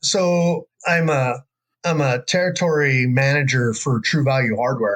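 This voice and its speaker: A man with a rural American accent, fairly high in pitch, with ordinary pitch variation and very even loudness. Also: fairly slow pace. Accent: rural American, redneck-sounding. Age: 50s. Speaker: bowhunter and jiu-jitsu instructor. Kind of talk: casual interview chat. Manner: casual, many fillers.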